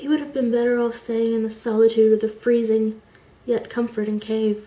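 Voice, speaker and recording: A woman's somewhat breathy voice with a dark, mellow tone and monotone, flat intonation. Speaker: amateur fiction writer. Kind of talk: reading of own short story. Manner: slow.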